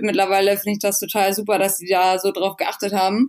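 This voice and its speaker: A woman's plain, everyday voice, medium in pitch, at a fairly quick pace. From northern Germany, rural Schleswig-Holstein. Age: 20s. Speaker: athlete and fitness influencer. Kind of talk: casual interview.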